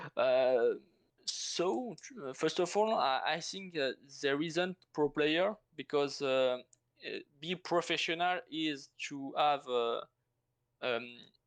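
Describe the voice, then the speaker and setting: Against a quiet background, the speaker talks at a very slow pace with a French accent and long, frequent pauses. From France. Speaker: strategy game player. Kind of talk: interview answer. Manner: hesitant, halting non-native English.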